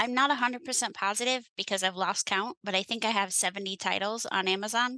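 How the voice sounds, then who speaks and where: Talking very fast in an American accent, a woman with a fairly high pitch and a bright, sharp tone keeps her loudness very even in a dry, close sound with no echo. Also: ordinary pitch variation. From western New York. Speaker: author. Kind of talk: interview answer.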